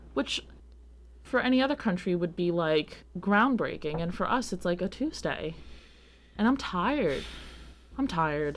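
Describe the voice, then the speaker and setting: A woman with an American accent and a fairly low pitch speaks at a moderate pace, with vocal fry. Her pitch swings very widely, and she takes long, frequent pauses. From US Northeast (Long Island, New York). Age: 20s. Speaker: podcast host. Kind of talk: casual chat.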